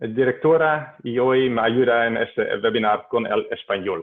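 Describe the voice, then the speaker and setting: A man speaks with a Dutch accent and ordinary pitch variation. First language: Dutch (speaking Spanish). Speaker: hydrologist, webinar organizer. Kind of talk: webinar introduction. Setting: video call. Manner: halting, many hesitations and self-corrections.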